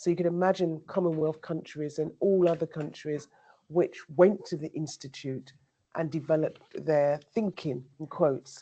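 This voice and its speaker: A woman's very deep, low voice with a dark, mellow tone, fairly even intonation and a moderate pace. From England, Devon and Somerset. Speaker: academic, vice dean. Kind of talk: panel discussion.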